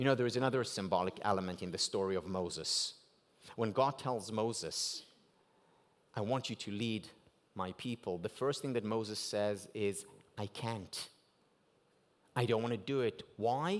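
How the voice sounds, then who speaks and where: Pausing long and often, a man with an Israeli accent speaks at a moderate pace in a medium voice with ordinary pitch variation, on a very clean recording with a silent background. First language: Hebrew. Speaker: keynote speaker. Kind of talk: keynote speech.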